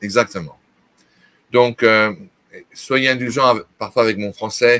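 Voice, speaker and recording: A man speaks at a very slow pace in a bright, sharp tone. The sound is dry and close, with no echo. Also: medium pitch for a man. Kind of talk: interview talk on prophecy. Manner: hesitant, many fillers.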